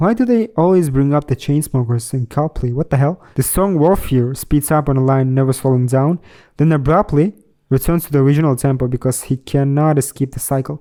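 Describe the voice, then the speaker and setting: A man with a non-native accent talks fairly quickly at a fairly high pitch with ordinary pitch variation in a dark, mellow tone, the sound dry and close with no echo on a very clean recording with a silent background. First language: not English. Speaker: music reaction youtuber. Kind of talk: reaction commentary while reading a review aloud.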